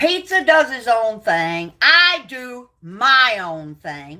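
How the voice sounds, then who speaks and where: Heard on a very clean recording with a silent background, a woman with an American accent has a bright, sharp tone. She sounds animated, and her pitch swings very widely. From upstate New York. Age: 70s. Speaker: livestreamer. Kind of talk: ranting livestream. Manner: halting.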